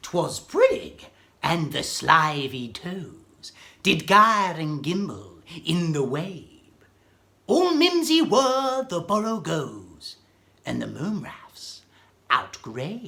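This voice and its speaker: A man's put-on character voice, high-pitched and very slow, with very wide pitch swings and big swings in loudness. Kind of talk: poetry reading.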